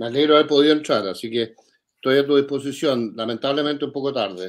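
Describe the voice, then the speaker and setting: Speaking at a very fast pace, a man with a fairly high voice uses ordinary pitch variation. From Chile. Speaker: think tank director, economist. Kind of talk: interview.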